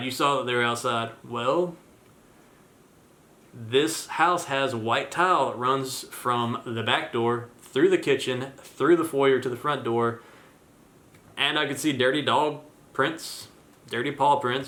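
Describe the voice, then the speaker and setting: Audible room echo surrounds a man's medium-pitched voice, bright and sharp in tone, with fairly even intonation. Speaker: vlogger and landlord. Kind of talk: casual vlog talk to camera. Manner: monotone; hesitant, many fillers.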